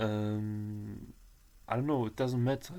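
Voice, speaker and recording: Over a very clean recording with a silent background, a man with a dark, mellow tone speaks at a fairly slow pace with fairly even intonation. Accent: German. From Germany, Turkish roots. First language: German. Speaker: vlogger. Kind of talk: personal testimony vlog. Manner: halting, many fillers and restarts.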